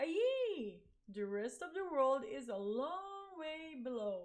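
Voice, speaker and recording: A woman uses a put-on character voice with a high pitch and very wide pitch swings. She speaks at a very slow pace. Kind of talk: picture book read-aloud. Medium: read story. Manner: fussy, complaining.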